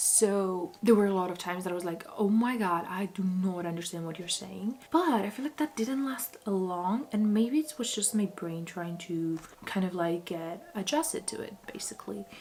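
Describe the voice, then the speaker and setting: Talking at a moderate pace with hardly any pauses, a woman with a non-native accent uses lively intonation. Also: medium pitch for a woman. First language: not English. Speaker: book vlogger. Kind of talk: casual vlog talk. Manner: chatty, casual.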